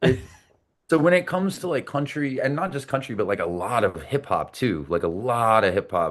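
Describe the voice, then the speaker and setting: A man with a medium pitch talks at a moderate pace in an animated tone with very wide pitch swings. Vocal fry colors his voice against a quiet background. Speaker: singer-songwriter. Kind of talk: casual interview chat. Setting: podcast interview. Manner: animated, repeats words.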